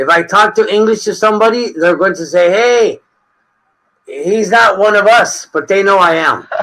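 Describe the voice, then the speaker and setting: A man's high-pitched, raised and projected voice. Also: ordinary pitch variation, moderate pace. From Mexico. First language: Spanish. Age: 50s. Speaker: retired English teacher. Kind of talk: casual chat.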